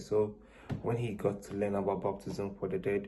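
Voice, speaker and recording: Somewhat breathy, dark and mellow male voice, fairly low in pitch, monotone with flat intonation, at a moderate pace. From Ghana. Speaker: student interviewee. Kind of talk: interview answers.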